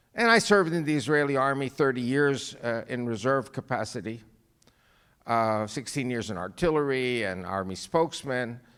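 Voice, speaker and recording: Heard in a very clean recording with a silent background, a man with a New York accent speaks with lively intonation. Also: medium pitch for a man, moderate pace. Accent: New York American. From New York, US. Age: 70s. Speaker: guest speaker, author. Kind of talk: speech to church audience.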